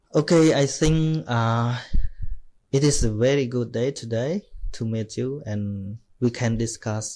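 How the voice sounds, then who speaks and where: In a Cambodian accent, a man speaks at a medium pitch with a dark, mellow tone, at a very slow pace with long, frequent pauses, on a very clean recording with a silent background. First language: Khmer. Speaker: Buddhist monk. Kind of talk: casual chat. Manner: halting.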